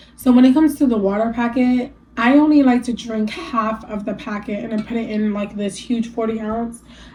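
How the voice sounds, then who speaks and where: Over noticeable background noise, a woman with a fairly high voice talks at a fairly quick pace with fairly even intonation and hardly any pauses. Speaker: lifestyle vlogger. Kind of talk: casual sit-down talk to camera. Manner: casual, filler-heavy, with some stumbling.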